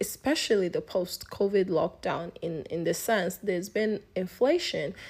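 With a normal speaking voice, a woman speaks at a medium pitch and a moderate pace, using ordinary pitch variation. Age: 20s. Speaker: podcast host. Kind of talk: casual solo podcast monologue. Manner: laughs often while talking.

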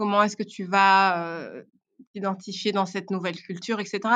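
On a very clean recording with a silent background, the voice carries a bright, sharp tone and fairly even intonation. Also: woman. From Belgium (Brussels and Tournai). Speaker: podcast guest. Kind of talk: casual interview. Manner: halting, many repetitions.

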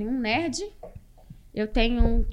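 A woman talks at a very fast pace. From Brazil, Porto Velho (Rondônia). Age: 40s. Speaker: dentist. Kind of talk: casual interview.

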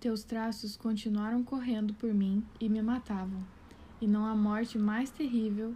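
The woman's pitch is fairly high, her tone dark and mellow. She sounds somewhat breathy, with monotone, flat intonation. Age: 20s. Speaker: content creator, pedagogy graduate. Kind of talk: poetry reading.

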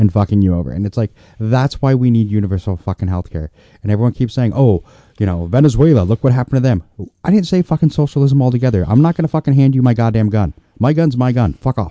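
A man with an American accent talks very fast in a dark, mellow, medium-pitched voice with lively intonation, the sound dry and close with no echo and the background quiet. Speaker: co-host and comic. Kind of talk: casual chat, commiserating and joining the rant. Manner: sarcastic, dry, profane.

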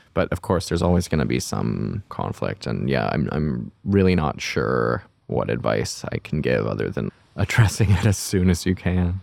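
A man's very deep, low voice with vocal fry, very wide pitch swings and a moderate pace. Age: 20s. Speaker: production designer and director. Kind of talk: casual interview. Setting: in-person studio.

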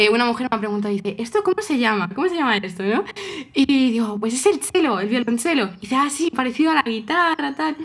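Talking at a very fast pace, a woman with a high pitch makes very wide pitch swings over noticeable background noise. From Spain, Toledo. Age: 20s. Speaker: cellist and coach. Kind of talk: casual interview.

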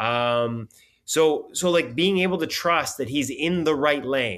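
A man with a Canadian accent talks at a fairly high pitch and a fairly slow pace, with lively intonation. It is an unremarkable speaking voice over a quiet background. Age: 50s. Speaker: hockey journalist. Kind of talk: casual interview.

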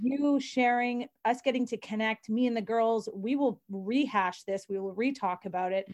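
A woman's fairly high voice, a plain, everyday voice, with ordinary pitch variation and hardly any pauses. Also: moderate pace. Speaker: podcast co-host. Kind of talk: casual interview chat.

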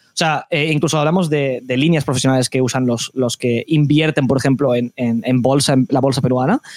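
Words come at a very fast pace in a Castilian accent. The sound is dry and close, with no echo. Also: man. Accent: Spanish (Spain) Castilian. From Spain. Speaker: esports commentator. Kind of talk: casual interview.

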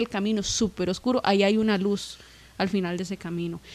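Speaking at a moderate pace, a woman has a medium pitch, an unremarkable speaking voice and ordinary pitch variation. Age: 20s. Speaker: musician. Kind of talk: casual chat.

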